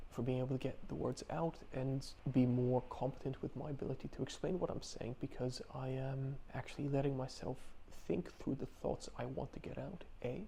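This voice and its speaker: At a moderate pace, a man speaks with a somewhat breathy, dark, mellow tone, medium pitch and ordinary pitch variation. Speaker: video blogger. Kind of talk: personal video diary. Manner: mumbling, stumbling.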